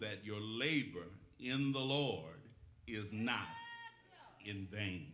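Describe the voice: A man talks at a slow pace. His tone is fairly bright.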